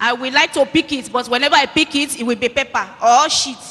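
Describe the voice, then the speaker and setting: With a Nigerian accent, a woman speaks at a fairly quick pace in a raised, projected voice, her pitch high with ordinary variation, over noticeable background noise. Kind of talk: testimony. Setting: church.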